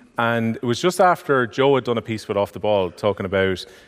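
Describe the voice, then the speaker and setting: In an Irish accent, a man talks at a very fast pace with ordinary pitch variation. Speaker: podcast host. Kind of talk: live podcast chat. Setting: theatre stage with audience.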